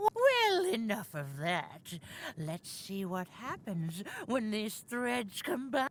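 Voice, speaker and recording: Using a put-on character voice, a woman speaks at a very slow pace and a fairly high pitch. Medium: video game. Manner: cryptic, unhurried.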